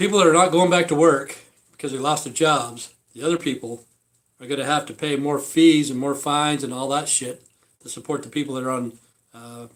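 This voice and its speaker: Speaking fairly quickly with an American accent, a man with a fairly high pitch swings widely in loudness. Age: 60s. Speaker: vlogger. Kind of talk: casual rant. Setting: live stream. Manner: halting; animated.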